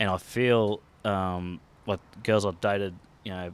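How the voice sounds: A man speaks with a low pitch and little pitch movement. His tone is fairly bright.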